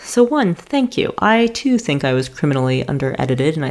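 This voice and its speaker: A woman with an American accent speaks at a moderate pace in a very deep, low pitch, with very wide pitch swings. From New York. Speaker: podcast host and racecar driver. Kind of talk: casual monologue answering listener questions.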